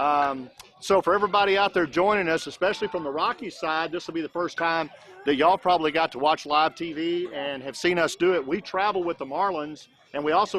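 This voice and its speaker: A man talks in a normal speaking voice with an American accent, his pitch fairly high. His pace is fairly quick and his pitch varies in an ordinary way. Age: 60s. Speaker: youth baseball livestream commentator. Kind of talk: live commentary. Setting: outdoors at a ballfield. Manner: conversational, with many fillers.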